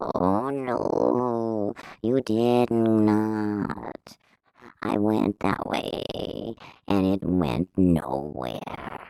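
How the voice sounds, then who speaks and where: A man puts on a character voice with a fairly low pitch, speaking at a very slow pace. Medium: read story. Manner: sulky, stubborn.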